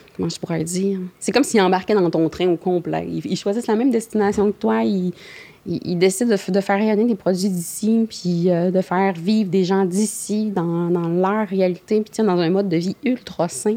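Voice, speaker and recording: Her tone dark and mellow, a woman talks at a moderate pace with ordinary pitch variation. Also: medium pitch for a woman. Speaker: blueberry producer and processor. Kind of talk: casual interview.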